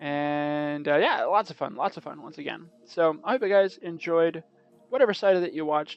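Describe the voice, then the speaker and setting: Against music in the background, a man talks at a high pitch with big swings in loudness. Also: ordinary pitch variation. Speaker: gaming video commentator. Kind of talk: casual video commentary. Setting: home recording late at night. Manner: fast; trying to talk quietly.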